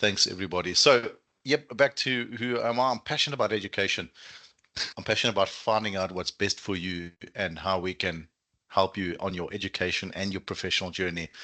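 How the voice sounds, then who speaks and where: A man with a South African accent talks at a fairly quick pace against a quiet background. His fairly low voice has a bright, sharp tone and ordinary pitch variation. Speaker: student recruitment manager. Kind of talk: webinar presentation. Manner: animated.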